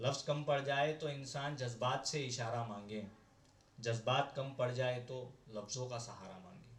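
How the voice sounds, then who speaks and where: Big swings in loudness, a somewhat breathy quality and ordinary pitch variation. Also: man, medium pitch for a man. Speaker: poet. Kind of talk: poetry reading. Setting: open mic at a cafe.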